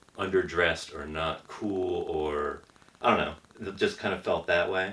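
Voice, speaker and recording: With an American accent, a man speaks at a moderate pace over noticeable background noise. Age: 40s. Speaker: rock band member. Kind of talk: casual interview chat. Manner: quiet.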